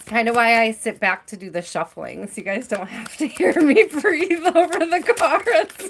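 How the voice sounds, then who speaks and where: Against noticeable background noise, a woman talks at a moderate pace with hardly any pauses, her high voice showing very wide pitch swings and big swings in loudness. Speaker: tarot reader. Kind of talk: live-stream tarot reading. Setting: live stream. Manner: casual, chatty; heavy breathing.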